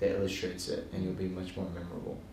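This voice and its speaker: A man speaks with an American accent. Audible room echo and light background noise are present. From Hawaii, USA. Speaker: Buddhist monk and teacher. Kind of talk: Dharma talk to a live audience. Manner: casual, humorous. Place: hall.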